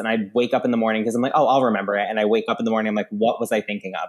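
A man speaks with an American accent. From US Northeast (Long Island, New York). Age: 20s. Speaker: TikTok comedian. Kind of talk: casual chat. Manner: animated.

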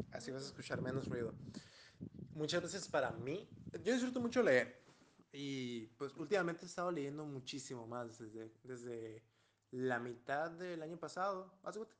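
Pitched fairly high, the man talks with lively intonation at a moderate speed. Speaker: guest reader. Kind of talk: casual chat.

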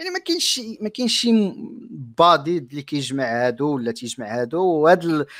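Talking at a fairly quick pace, a man uses a normal speaking voice at a fairly high pitch with lively intonation. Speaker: YouTuber. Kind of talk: casual interview.

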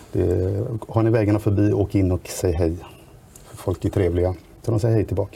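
A man speaks in a somewhat breathy voice with a dark, mellow tone, fairly even intonation and very even loudness. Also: fairly low pitch for a man, moderate pace. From Sweden, Västra Götaland. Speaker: local politician. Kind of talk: podcast interview.

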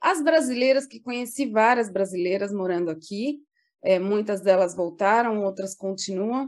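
Against a quiet background, a woman uses a plain, everyday voice with medium pitch and ordinary pitch variation. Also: moderate pace, big swings in loudness. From Brazil, São Paulo. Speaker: public relations professional. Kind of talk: casual interview.

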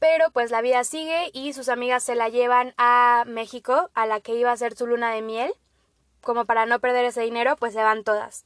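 Over a quiet background, a woman with a high pitch speaks at a moderate pace in fairly even intonation, the sound dry and close with no echo. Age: 20s. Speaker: podcast host, agricultural engineering student. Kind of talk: casual solo monologue.

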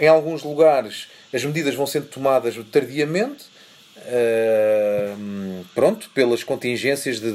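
A man speaks with a European Portuguese accent. His intonation is lively. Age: 40s. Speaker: photojournalist. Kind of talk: interview. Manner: halting.

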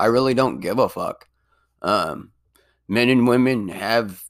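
A man speaks at a moderate pace, and the very clean recording has a silent background. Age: 30s. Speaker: podcaster reading his own blog post. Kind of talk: casual monologue; reading aloud. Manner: halting.

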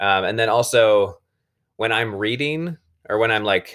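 A man with a medium pitch and lively intonation speaks at a fairly slow pace. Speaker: teacher. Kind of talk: casual chat. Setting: home. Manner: loud when teaching.

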